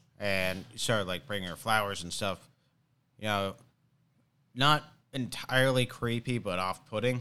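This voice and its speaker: In a very clean recording with a silent background, a man with a fairly low pitch and a bright, sharp tone speaks at a moderate pace, with ordinary pitch variation and long, frequent pauses. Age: 20s. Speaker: comedian and podcast host. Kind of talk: casual chat.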